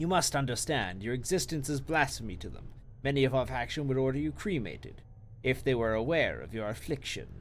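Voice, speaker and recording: Over clear background noise, a man does a wheezy put-on character voice at a medium pitch and a fairly quick pace. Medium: game stream. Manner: solemn, measured.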